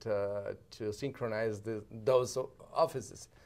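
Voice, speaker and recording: A man with a Spanish accent at a fairly slow pace, on a very clean recording with a silent background. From Sonora, northern Mexico. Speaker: diplomat, former mayor. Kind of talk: interview. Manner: halting.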